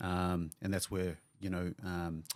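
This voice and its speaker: A man with a New Zealand accent and a very deep, low pitch, in a very clean recording with a silent background. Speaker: physiotherapist and clinic owner. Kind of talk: podcast interview.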